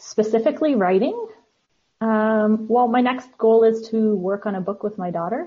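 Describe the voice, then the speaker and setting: Somewhat breathy and with ordinary pitch variation, this voice speaks in a Canadian accent. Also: woman, fairly high pitch for a woman, moderate pace. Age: 40s. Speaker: author. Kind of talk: interview.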